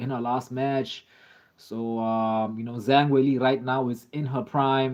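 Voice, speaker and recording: A man with a South African accent speaks at a medium pitch and a moderate pace, keeping his intonation fairly even. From South Africa, Durban. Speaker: live streamer, MMA fan. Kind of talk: live stream chat reading comments. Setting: live stream. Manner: casual, filler-heavy.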